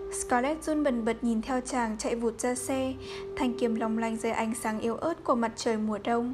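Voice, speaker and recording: A woman speaks at a fairly slow pace in a fairly high voice with ordinary pitch variation, over noticeable background noise. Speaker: podcast narrator reading a novel aloud. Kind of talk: literary audiobook reading, measured narration with dialogue passages. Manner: steady, even storytelling pace, solemn and dramatic; soft and calming late-night tone.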